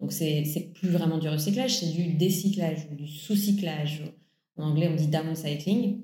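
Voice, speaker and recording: With audible room echo, a woman speaks at a fairly slow pace and a fairly low pitch. Her voice is somewhat breathy, with ordinary pitch variation. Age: 30s. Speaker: environmental campaigner. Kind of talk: interview.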